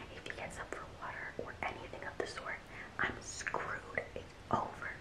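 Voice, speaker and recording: A woman whispers her words at a moderate pace. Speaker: vlogger. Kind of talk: casual vlog chat. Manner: hushed, quiet talk so as not to wake someone. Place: home room. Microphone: phone near.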